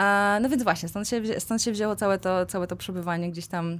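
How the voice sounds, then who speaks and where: A woman at a fairly quick pace, on a very clean recording with a silent background. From central Poland, Kozienice. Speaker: amputee with a leg prosthesis. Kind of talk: podcast interview. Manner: halting, many fillers and repetitions.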